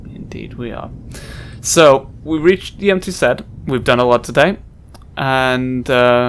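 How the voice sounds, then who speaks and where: Over music in the background, a man with a non-native accent and a medium pitch speaks at a fairly slow pace with long, frequent pauses, ordinary pitch variation and big swings in loudness. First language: not English. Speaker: let's play gamer. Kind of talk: gameplay commentary. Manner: halting.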